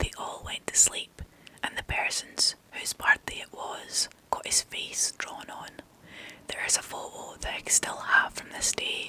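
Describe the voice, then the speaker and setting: Whispering at a fairly slow pace, a woman shows big swings in loudness against noticeable background noise. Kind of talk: ASMR whispered story reading. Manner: whispered, soft.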